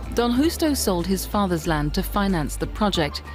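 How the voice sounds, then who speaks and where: At a moderate pace the speech continues, with music in the background. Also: woman. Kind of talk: news report narration.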